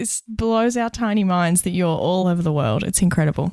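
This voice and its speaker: This is a very clean recording with a silent background. A woman talks at a fairly quick pace. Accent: Australian. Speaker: podcast co-host and interview coach. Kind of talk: casual podcast chat.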